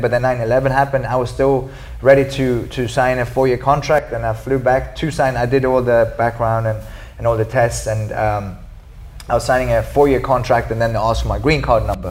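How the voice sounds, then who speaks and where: Speaking at a fairly quick pace, a man with a medium-pitched voice keeps his intonation fairly even, while noticeable background noise and audible room echo surround him. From Sweden. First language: Swedish. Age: 40s. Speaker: martial artist and activist. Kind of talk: interview.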